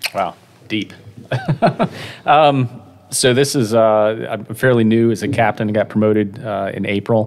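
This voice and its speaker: A man with an American accent, medium pitch, fairly even intonation and a fairly slow pace, long, frequent pauses, and noticeable background noise. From Michigan. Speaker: police captain. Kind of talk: casual interview.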